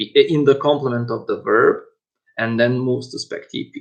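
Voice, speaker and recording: This man has a non-native accent. He speaks at a fairly slow pace. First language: not English. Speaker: university lecturer. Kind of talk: lecture. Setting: online lecture. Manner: halting, many fillers and repetitions.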